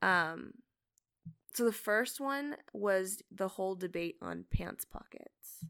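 On a very clean recording with a silent background, a woman with a medium pitch and a bright, sharp tone speaks at a very slow pace. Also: ordinary pitch variation. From Canada. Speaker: podcast host's wife. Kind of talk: casual chat.

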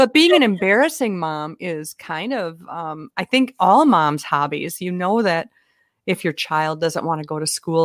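A woman with a Minnesotan accent speaks at a fairly slow pace and a fairly low pitch. Her intonation is lively, and the sound is dry and close with no echo. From US Minnesota. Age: 50s. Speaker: humorist speaker and author. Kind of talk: casual chat. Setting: video call. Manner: animated, jokey.

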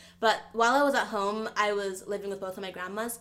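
At a moderate pace, a woman with a fairly high pitch talks in an ordinary speaking voice. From United States, Nigerian immigrant family. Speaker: startup founder. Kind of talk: interview. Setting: video call.

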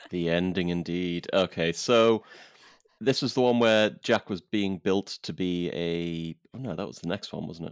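This man has a very deep, low voice and speaks at a fairly slow pace. His loudness swings widely, on a very clean recording with a silent background. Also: ordinary pitch variation, dry, close sound with no echo. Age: 30s. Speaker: podcast host. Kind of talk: casual chat.

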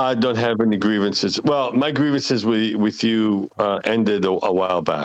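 Speaking with an Israeli accent, a man keeps a medium pitch, ordinary pitch variation and very even loudness at a moderate pace with hardly any pauses. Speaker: architect. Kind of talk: casual chat.

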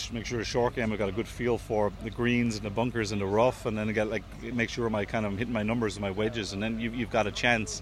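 Speaking very fast with hardly any pauses, a man with a Waterford Irish accent uses a fairly low pitch, vocal fry and flat, monotone intonation. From Ireland, Dungarvan, County Waterford. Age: 20s. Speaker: professional golfer. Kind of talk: interview.

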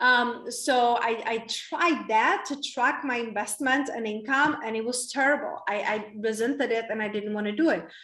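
A woman with a Czech accent speaks at a moderate pace with hardly any pauses. Her high-pitched voice has a bright, sharp tone and ordinary pitch variation. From Czech Republic. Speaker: women's coach. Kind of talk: interview conversation. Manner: animated.

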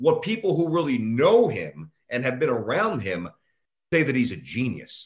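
A man's fairly high voice with very wide pitch swings, vocal fry and a moderate pace. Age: 40s. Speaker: sports radio host. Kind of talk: casual interview.

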